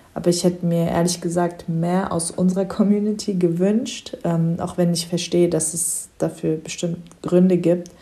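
Her pitch is fairly low for a woman, and her intonation is monotone and flat. She keeps a moderate pace with hardly any pauses. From Germany. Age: 20s. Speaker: psychology student and refugee counselor. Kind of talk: casual chat.

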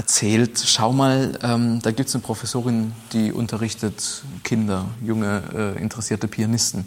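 Fairly even intonation and a moderate pace from a man, a plain, everyday voice at medium pitch. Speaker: pianist and conductor. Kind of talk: interview. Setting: old factory hall with historic pianos.

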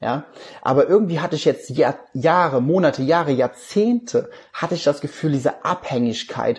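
A man talks at a moderate pace in a somewhat breathy voice, his pitch varying in an ordinary way. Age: 20s. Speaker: life coach and podcast host. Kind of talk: recorded livestream talk.

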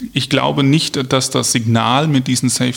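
Over noticeable background noise, a man with a medium-pitched voice speaks at a moderate pace. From Germany, Hesse (Marburg). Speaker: police officer and local politician. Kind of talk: interview.

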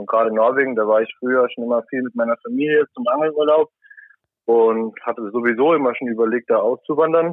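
Talking very fast, a man keeps a medium pitch and varies it in an ordinary way. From Saarland, Germany. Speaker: salmon farm worker and angler. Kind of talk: casual chat. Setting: remote call from a cabin.

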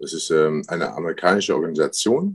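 The sound is dry and close, with no echo. A man speaks at a fairly slow pace. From Paderborn, East Westphalia (born in Syria, arrived age six). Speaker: professional MMA fighter. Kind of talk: interview. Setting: remote call, not in studio. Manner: halting, many fillers.

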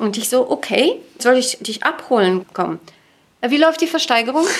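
A woman's voice swings very widely in pitch. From Bulgaria, Sofia. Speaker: finance executive. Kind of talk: interview.

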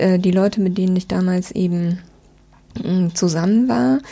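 This is a woman with medium pitch. Her pitch varies in an ordinary way. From southwestern Germany (Rhine-Neckar, near Speyer). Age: 40s. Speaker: publishing press officer. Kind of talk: interview conversation.

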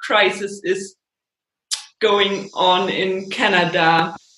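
A woman with a German accent speaks at a very slow pace. Her tone is bright and sharp, and her intonation fairly even. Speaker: podcast host, yoga teacher. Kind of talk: casual interview.

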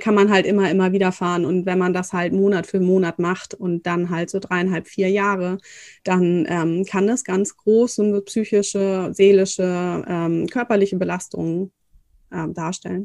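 A woman of medium pitch speaks at a fairly slow pace in a monotone, flat delivery against a quiet background. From northern Germany. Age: 30s. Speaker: fertility coach. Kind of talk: interview.

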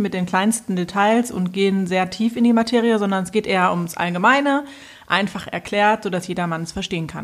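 A woman's medium-pitched, unremarkable speaking voice with ordinary pitch variation. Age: 30s. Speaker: podcast host and financial coach. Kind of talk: casual chat.

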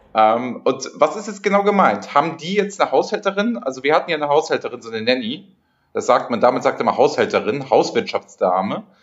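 Loudness swings a lot as a man talks at a fairly quick pace with a fairly high pitch and very wide pitch swings. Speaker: podcast host. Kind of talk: casual chat. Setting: hotel room.

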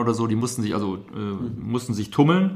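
A man speaks with audible room echo around him. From Germany, Rhineland (Düsseldorf). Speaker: museum director. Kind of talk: interview. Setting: on location in a museum. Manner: hesitant, many fillers.

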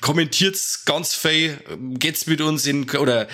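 Someone talks at a fairly slow pace. The voice carries a Bavarian accent. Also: man. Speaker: podcast co-host. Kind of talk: casual chat. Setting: online call.

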